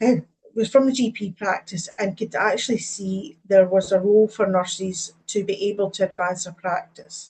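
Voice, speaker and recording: A woman in a Scottish accent speaks at a moderate pace and a medium pitch, somewhat breathy, with fairly even intonation. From Scotland. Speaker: advanced practice nurse lead and lecturer. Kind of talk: webinar presentation.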